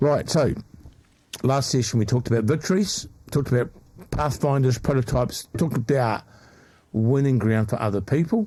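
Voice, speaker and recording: A dark, mellow, somewhat breathy voice at a fairly quick pace, with very even loudness, ordinary pitch variation, and long, frequent pauses. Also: man, medium pitch for a man. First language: not English. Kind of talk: casual chat.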